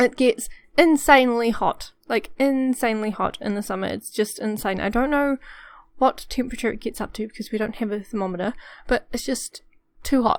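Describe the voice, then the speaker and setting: Speaking at a fairly quick pace with a New Zealand accent, a woman has a fairly high pitch and ordinary pitch variation in a very clean recording with a silent background. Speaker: gaming YouTuber. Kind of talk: casual voiceover chat. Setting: home bedroom recording. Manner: chatty, filler-heavy.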